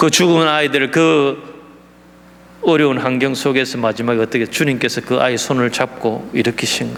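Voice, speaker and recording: Amid noticeable background noise, a man with a Gyeongsang accent speaks at a moderate pace and medium pitch with ordinary pitch variation. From South Korea, Gyeongsang (Daegu). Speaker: missionary. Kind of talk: sermon. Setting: church.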